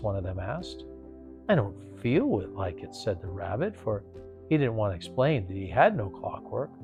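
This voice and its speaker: Music plays in the background as a man speaks. He talks at a moderate pace in a calm tone. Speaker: actor. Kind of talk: bedtime story reading. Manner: calm, rhythmic pacing.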